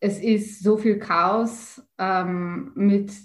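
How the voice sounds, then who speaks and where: The woman's pitch is medium and her intonation monotone and flat. Her voice is somewhat breathy. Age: 30s. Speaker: spiritual teacher and author. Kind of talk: interview.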